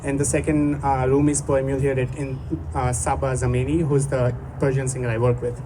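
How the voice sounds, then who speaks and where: A man with a Gujarati accent talks at a moderate pace and a medium pitch, with fairly even intonation. Audible room echo and noticeable background noise surround him. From India, Gujarat. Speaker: musician. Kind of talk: stage introduction to a live performance. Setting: outdoor stage with audience. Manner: halting.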